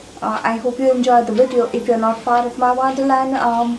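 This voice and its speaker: Audible room echo and noticeable background noise fill the recording. A woman speaks at a high pitch. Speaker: beauty and tech vlogger. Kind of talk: product unboxing vlog. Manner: soft-spoken.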